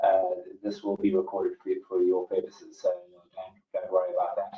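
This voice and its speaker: The speaker has a South African accent. The pace is fairly quick. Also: man. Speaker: webinar host, property company manager. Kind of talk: webinar moderation. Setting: online webinar call. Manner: hesitant, many fillers and repetitions.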